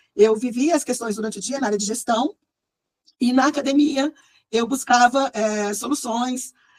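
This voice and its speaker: A woman speaks with ordinary pitch variation and a somewhat breathy voice. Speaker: management consultant and researcher. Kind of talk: online presentation to group. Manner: fast; frequent hesitations.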